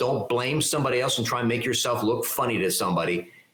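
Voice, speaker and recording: A man talks at a fairly quick pace in an energetic, enthusiastic tone with lively intonation. Noticeable background noise runs underneath. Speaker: keynote speaker and leadership mentor. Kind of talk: interview. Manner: clear diction.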